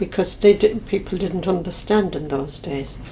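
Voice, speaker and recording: The speaker is a woman with an Irish accent. She talks at a moderate pace. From west of Ireland. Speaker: Irish emigrant. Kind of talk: reminiscence interview. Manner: halting.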